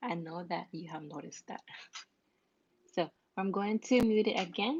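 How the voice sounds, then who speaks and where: Speaking with a non-native accent, a woman of medium pitch talks at a moderate pace in a somewhat breathy voice with lively intonation. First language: not English. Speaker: crafts tutorial creator. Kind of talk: live-streamed craft tutorial. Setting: live stream. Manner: halting, self-repeating.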